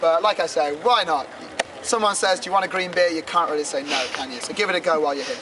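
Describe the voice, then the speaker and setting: Noticeable background noise sits behind a man who speaks with ordinary pitch variation. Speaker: tour guide. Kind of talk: guided tour talk to a group. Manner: loud; animated, jokey.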